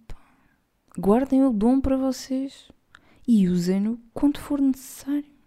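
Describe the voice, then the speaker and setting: A woman with a European Portuguese accent speaks at a fairly slow pace in a dark, mellow tone, her high pitch varying in an ordinary way. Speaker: podcast host. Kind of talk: casual monologue.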